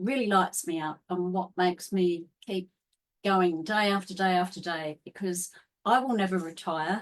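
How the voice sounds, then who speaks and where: Speaking at a fairly slow pace with an Australian accent, a woman keeps a medium pitch and fairly even intonation. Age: 60s. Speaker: holistic health coach. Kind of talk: interview.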